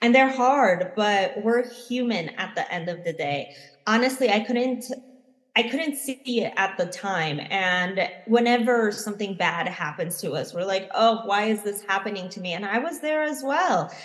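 In a plain, everyday voice, a woman speaks at a fairly slow pace. Her pitch sits fairly high, with lively intonation. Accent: American. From United States. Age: 30s. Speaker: plant medicine facilitator and spiritual mentor. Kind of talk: interview conversation.

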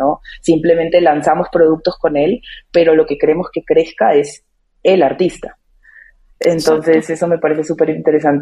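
At a moderate pace, a woman speaks in a very deep, low pitch with a dark, mellow tone and monotone, flat intonation. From Peru. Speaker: music marketing lead. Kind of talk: casual chat.

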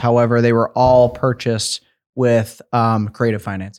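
A man with an American accent talks at a fairly quick pace and a medium pitch in an ordinary speaking voice, on a very clean recording with a silent background. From Michigan (Sparta, near Grand Rapids). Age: 20s. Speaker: real estate investor. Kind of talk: podcast interview.

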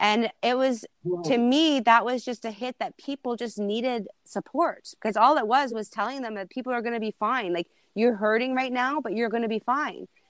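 A woman with a normal speaking voice talks at a moderate pace in a fairly high pitch with ordinary pitch variation. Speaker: TikTok creator. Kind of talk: casual chat. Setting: video call.

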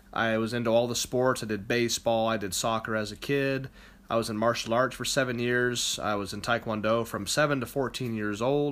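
Speaking fairly quickly, a man uses an American accent. His medium pitch stays monotone, with flat intonation. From Ohio, US Midwest. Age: 20s. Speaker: podcast host, competitive powerlifter. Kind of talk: solo podcast monologue. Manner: casual, with filler words.

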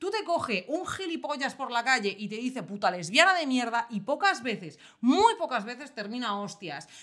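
An animated woman's voice, high in pitch, with very wide pitch swings, a moderate pace and hardly any pauses. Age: 30s. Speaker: podcast co-host. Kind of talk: casual chat.

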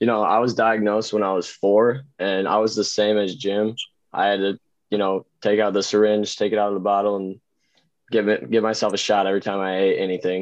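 A man's fairly low, monotone voice with flat intonation at a fairly quick pace, against a quiet background. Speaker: amateur wiffle ball pitcher. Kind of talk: interview.

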